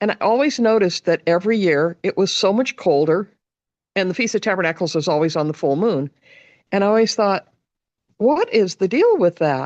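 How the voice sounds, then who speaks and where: In a dry, close recording with no echo, a woman with a plain, everyday voice talks at a medium pitch and a fairly quick pace, her intonation lively and her loudness very even. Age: 60s. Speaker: meditation group participant. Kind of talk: casual chat.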